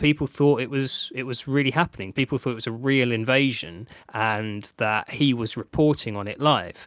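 With an unremarkable speaking voice, a man at medium pitch talks at a fairly quick pace with hardly any pauses, in a dry, close sound with no echo. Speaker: podcast host. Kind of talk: casual banter podcast.

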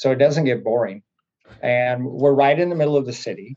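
An ordinary speaking voice from a man with an American accent, at a fairly quick pace with fairly even intonation. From US Pacific Northwest (Oregon). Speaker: college track and field coach. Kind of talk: casual interview.

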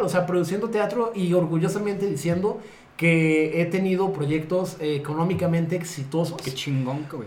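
A man's high voice in a Mexican accent, at a moderate pace with ordinary pitch variation, audible room echo and noticeable background noise. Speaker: podcast co-host, theatre producer. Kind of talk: casual chat.

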